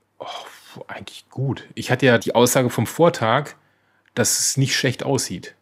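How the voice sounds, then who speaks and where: Somewhat breathy, a man speaks with big swings in loudness and ordinary pitch variation. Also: medium pitch for a man, fairly slow pace. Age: 40s. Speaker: podcast co-host sharing his cancer diagnosis. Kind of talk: personal testimony in interview.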